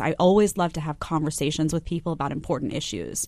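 A woman with an ordinary speaking voice talks at a fairly quick pace and a fairly low pitch, with ordinary pitch variation against a quiet background. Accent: American. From New York, Staten Island. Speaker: TV news commentator. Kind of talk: interview.

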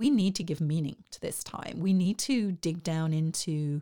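A woman's dark, mellow voice on a very clean recording against a silent background. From southeast England. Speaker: arts organization director. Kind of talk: interview. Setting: studio, in person.

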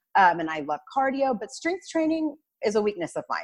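Over a quiet background, a woman talks at a fairly quick pace. Her pitch swings very widely. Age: 30s. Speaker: fitness guest, mother. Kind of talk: casual chat.

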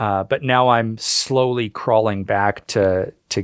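Speaking very slowly, a man with a Canadian accent keeps his intonation fairly even. His pitch is fairly low, and the sound is dry and close with no echo. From Canada. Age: 50s. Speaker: author and history writer. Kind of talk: interview.

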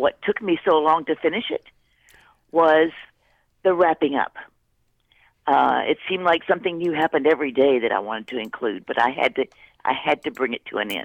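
A woman with a very deep, low pitch talks at a fairly quick pace with lively intonation, broken by long, frequent pauses. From Texas. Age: 80s+. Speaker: memoir author. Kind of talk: interview. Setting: radio interview.

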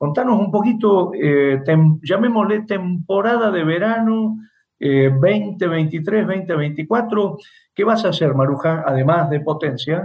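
At a very slow pace, a man talks in a high voice with ordinary pitch variation. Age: 60s. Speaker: radio host, theatre critic. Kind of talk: interview. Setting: radio, remote call with guest.

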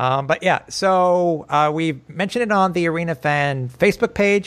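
A man speaks at a moderate pace with lively intonation in a plain, everyday voice. The recording is very clean, with a silent background. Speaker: podcast host. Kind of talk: casual sports podcast chat. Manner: chatty, informal.

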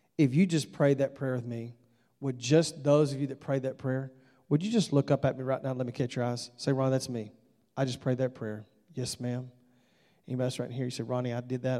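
An animated, very fast delivery in a Southern US accent. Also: man. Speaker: visiting evangelist preacher. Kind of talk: sermon, then an altar-call invitation. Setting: church with congregation. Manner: animated, urgent preacher in full flow, pleading and direct.

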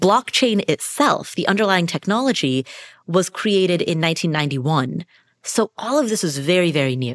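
A woman speaks with a fairly low pitch, very wide pitch swings and a moderate pace. The sound is dry and close with no echo, and the recording is very clean with a silent background. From Nepal. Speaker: financial podcaster. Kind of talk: interview explaining finance.

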